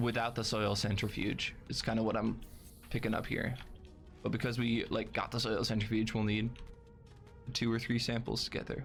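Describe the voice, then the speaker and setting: A man is speaking with music in the background. The room echo is audible. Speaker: video game speedrunner. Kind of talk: gameplay commentary. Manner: casual, chatty.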